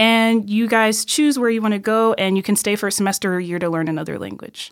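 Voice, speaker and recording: On a very clean recording with a silent background, a woman speaks at a medium pitch with a Midwestern American accent. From Illinois, US Midwest. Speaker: university student. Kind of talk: casual chat.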